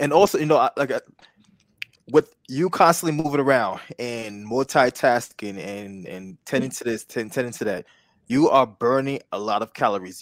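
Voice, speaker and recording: A man's normal speaking voice at a medium pitch, lively in intonation and moderate in pace, in a very clean recording with a silent background and a dry, close sound with no echo. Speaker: podcast host and wellness business founder. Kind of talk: interview. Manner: upbeat.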